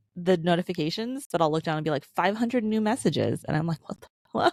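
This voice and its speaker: A woman's ordinary speaking voice, with lively intonation at a fairly quick pace. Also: dry, close sound with no echo. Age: 30s. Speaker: podcast host. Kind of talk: casual chat.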